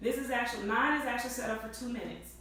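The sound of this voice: With audible room echo, a woman speaks at a very fast pace in a bright, sharp tone, her fairly high pitch showing ordinary variation.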